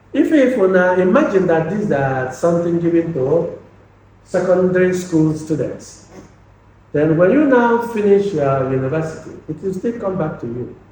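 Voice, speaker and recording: Amid audible room echo, a high-pitched man with a dark, mellow tone speaks at a moderate pace with lively intonation. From Nigeria, Anambra State (Igbo). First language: Igbo. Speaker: lecturer. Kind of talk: lecture. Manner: halting, repeats words.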